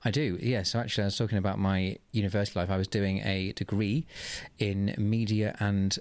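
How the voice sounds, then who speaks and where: On a very clean recording with a silent background, a man with a southern English accent speaks with fairly even intonation. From southeast England, Oxfordshire. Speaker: drag queen. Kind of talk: interview.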